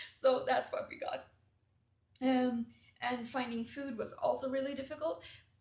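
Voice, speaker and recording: A woman with a Swedish accent talks at a moderate pace, leaving long, frequent pauses. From Sweden. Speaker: travel vlogger. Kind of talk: casual storytelling. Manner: hesitant with fillers.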